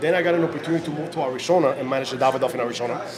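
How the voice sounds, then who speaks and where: A man's fairly high voice with fairly even intonation, noticeable background noise and audible room echo. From Cuba, Havana. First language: Spanish. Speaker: cigar sales representative. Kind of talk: casual chat. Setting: cigar shop party with live stream.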